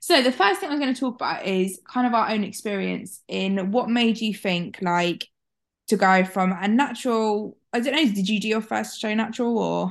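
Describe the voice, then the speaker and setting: In a British accent, a woman talks at a moderate pace with ordinary pitch variation against a quiet background. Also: fairly high pitch for a woman. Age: 20s. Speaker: podcast host. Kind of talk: casual chat.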